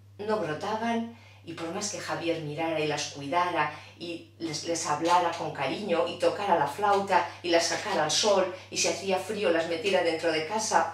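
A woman talks at a moderate pace in a fairly low pitch. Faint background noise sits behind her. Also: ordinary pitch variation, few pauses.

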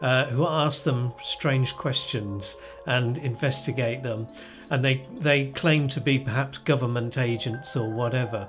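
Clear music plays in the background. A man talks at a fairly slow pace with fairly even intonation. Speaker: interviewee. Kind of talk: interview answer. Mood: amused, relaxed storytelling. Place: home room.

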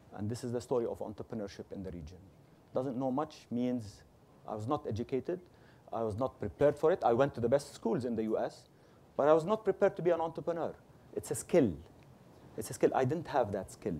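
The voice has a dark, mellow tone and very wide pitch swings, moving at a very fast pace yet broken by long, frequent pauses. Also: man, medium pitch for a man. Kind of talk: panel discussion.

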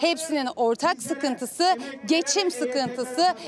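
Recorded dry with no echo but with noticeable background noise, a woman speaks in a high pitch at a fairly slow pace. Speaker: news reporter. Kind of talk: news report voiceover. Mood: serious, concerned. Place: street. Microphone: handheld.

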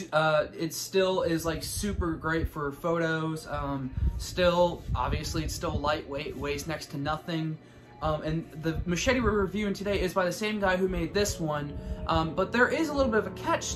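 A man with ordinary pitch variation keeps a moderate pace while noticeable background noise carries on behind him. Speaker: prop reviewer. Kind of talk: casual vlog chat. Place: home room. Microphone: phone near.

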